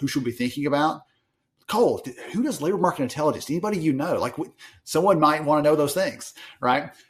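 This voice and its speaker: Speech comes at a very fast pace in a strong Southern US accent. Pitch variation is ordinary. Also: man, fairly high pitch for a man. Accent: thick Southern US. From US South. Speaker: industry analyst. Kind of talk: podcast interview.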